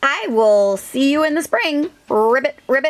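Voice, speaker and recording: A woman uses a put-on character voice pitched high. She keeps a moderate pace. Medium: read story. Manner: croaking ribbits between words.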